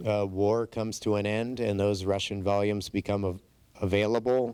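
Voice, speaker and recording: A man's fairly low voice with a dark, mellow tone, monotone, flat intonation and a moderate pace, dry and close with no echo on a very clean recording with a silent background. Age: 60s. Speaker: borough mayor. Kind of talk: conference presentation.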